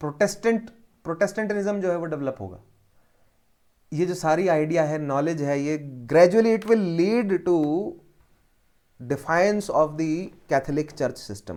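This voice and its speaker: A high-pitched man speaks with lively intonation, leaving long, frequent pauses. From Haryana, India. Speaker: history teacher for civil service exam. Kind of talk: lecture. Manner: code-switching Hindi and English.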